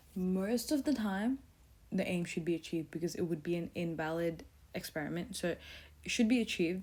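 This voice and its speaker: A woman talks at a moderate pace in a fairly low pitch. Hers is a plain, everyday voice. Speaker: tutor. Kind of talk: tutorial.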